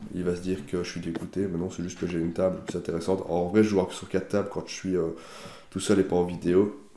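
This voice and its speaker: His pitch is very deep and low, with a dark, mellow tone. The man speaks in a flat monotone amid audible room echo. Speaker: poker player. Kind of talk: live commentary. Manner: halting.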